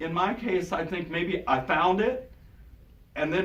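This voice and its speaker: A man with a high pitch and ordinary pitch variation talks at a fairly slow pace. Music plays in the background, and room echo is audible. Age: 60s. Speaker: minister. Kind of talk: sermon.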